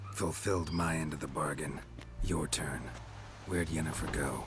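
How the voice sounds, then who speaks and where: Over loud background noise, a man uses a put-on character voice with a very deep, low pitch, speaking at a moderate pace. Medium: video game. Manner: terse, dry.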